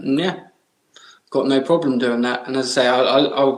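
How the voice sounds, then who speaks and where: A man in an English accent, medium-pitched, at a fairly quick pace. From England. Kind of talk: podcast interview answer. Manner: casual, hesitant.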